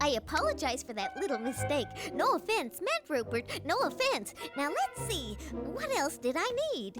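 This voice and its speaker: Over clear background music, a woman performs a cartoonish character voice at a moderate pace. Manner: bright, chatty.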